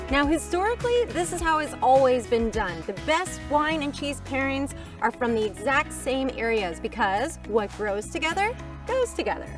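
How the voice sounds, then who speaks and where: A woman talks at a moderate pace over clear background music. The sound is dry, with no echo. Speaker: wine expert host. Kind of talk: tutorial. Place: open country.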